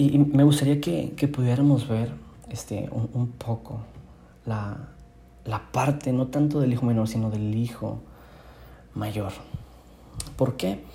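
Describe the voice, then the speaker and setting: A man speaks at a very slow pace with long, frequent pauses, medium pitch and ordinary pitch variation. Audible room echo surrounds the voice. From northern Mexico, Monterrey. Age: 20s. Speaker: youth preacher. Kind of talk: devotional sermon. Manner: casual, with frequent word repetitions.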